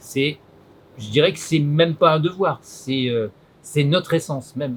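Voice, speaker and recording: The voice is somewhat breathy, at a fairly slow pace with ordinary pitch variation. Its loudness swings widely, with long, frequent pauses. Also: man. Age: 70s. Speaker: farmer. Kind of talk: interview. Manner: hesitant, many fillers.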